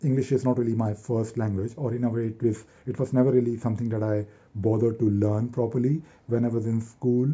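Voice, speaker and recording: A man talks at a medium pitch. His voice has a somewhat breathy quality. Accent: North Indian. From Delhi, North India. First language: Hindi. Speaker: YouTuber and software consultant. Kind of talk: casual vlog monologue to camera. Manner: fast; halting, many repetitions and fillers.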